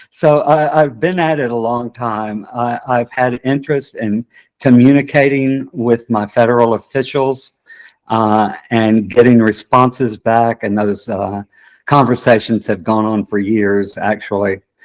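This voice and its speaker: Heard dry and close without echo, a man uses a normal speaking voice at a medium pitch, a fairly slow pace, and ordinary pitch variation. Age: 60s. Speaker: political candidate, theater director. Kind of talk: interview.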